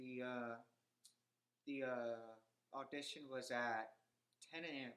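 Speaking in an American accent, a man comes through. His tone is bright and sharp. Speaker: actor. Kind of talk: interview.

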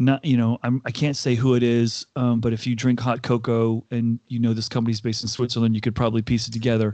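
In an American accent, a man talks at a very fast pace with a medium pitch, a dark, mellow tone and monotone, flat intonation against a quiet background. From US Northeast, Connecticut. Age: 50s. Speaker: HR executive and keynote speaker. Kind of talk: interview conversation.

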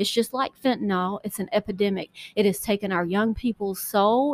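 A woman talks at a moderate pace on a very clean recording with a silent background and a dry, close sound with no echo. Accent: Southern US. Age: 40s. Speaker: podcast host and political candidate. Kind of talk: personal testimony. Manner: halting.

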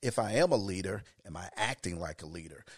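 Male voice with a dry, close sound and no echo. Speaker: mentor and educator. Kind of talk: casual interview.

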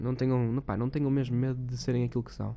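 A man's voice at a medium pitch carries a dark, mellow tone. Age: young. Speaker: podcast host. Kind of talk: casual monologue. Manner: animated.

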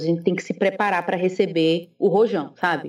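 At a moderate pace, a woman speaks in a dark, mellow tone at a medium pitch. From Brazil, Recife (Pernambuco). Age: 30s. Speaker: theologian and church history teacher. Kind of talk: casual interview.

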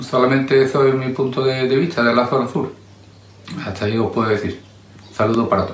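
A man talks at a medium pitch and a fairly quick pace, with fairly even intonation and long, frequent pauses. Audible room echo and noticeable background noise surround him. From southern Jerez, Andalusia. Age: 50s. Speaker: local resident interviewee. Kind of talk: personal testimony. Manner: halting.

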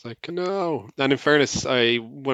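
Speaking with an Irish accent, a man uses ordinary pitch variation. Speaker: podcast co-host. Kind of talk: casual chat.

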